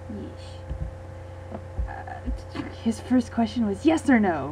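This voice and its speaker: Noticeable background noise runs beneath the voice of a woman. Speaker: gaming video creator. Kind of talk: casual gameplay commentary and Q and A. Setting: home recording late at night. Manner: quiet.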